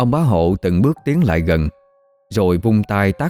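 Someone is doing plain reading aloud.

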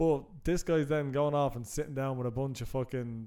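A man's dark, mellow voice at medium pitch, very fast in pace, with fairly even intonation. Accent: Irish. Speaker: podcast co-host. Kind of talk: casual chat.

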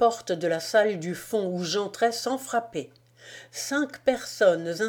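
What we hear is plain reading aloud.

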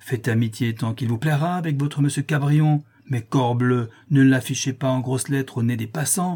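This is plain reading aloud. The voice just reads the text.

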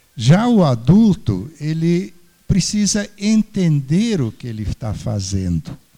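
A man's very slow, somewhat breathy voice with a dark, mellow tone and very wide pitch swings. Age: old. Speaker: retired engineer, volunteer computer teacher. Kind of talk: panel discussion. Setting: stage with audience. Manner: halting, repeats words.

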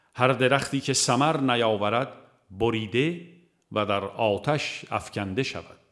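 In a very clean recording with a silent background, a man speaks at a medium pitch with a fairly bright tone and ordinary pitch variation.

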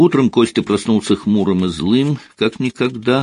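An unforced voice reading aloud, its pitch varying in an ordinary way.

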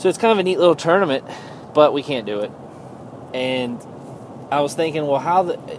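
A man speaks at a moderate pace with lively intonation over noticeable background noise. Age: 30s. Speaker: gaming podcaster. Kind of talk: casual solo monologue. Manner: halting, many fillers.

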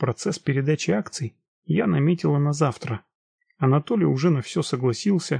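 This is reading aloud in a natural voice, with lively intonation. The background is quiet.

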